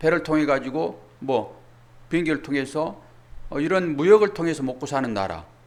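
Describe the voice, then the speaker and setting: This man's fairly high voice carries vocal fry and ordinary pitch variation. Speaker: pastor. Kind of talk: sermon. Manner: fast when covering much material.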